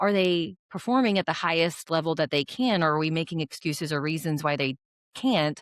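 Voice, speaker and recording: An ordinary speaking voice from a woman, fairly low-pitched with lively intonation at a moderate pace, in a very clean recording with a silent background and a dry, close sound without echo. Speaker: dentist and practice owner. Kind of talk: podcast interview.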